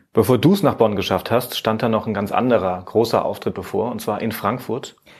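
With an ordinary speaking voice, a man talks at a medium pitch and moderate pace, with ordinary pitch variation and hardly any pauses. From Germany, Saarland. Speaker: radio podcast host. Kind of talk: casual interview.

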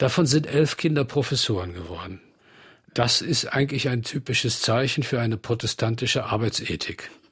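This is a plain, everyday voice at a moderate pace. The recording is very clean, with a silent background. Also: man, medium pitch for a man, lively intonation. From Bonn, Rhineland, Germany. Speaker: art professor. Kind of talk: radio interview. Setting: studio.

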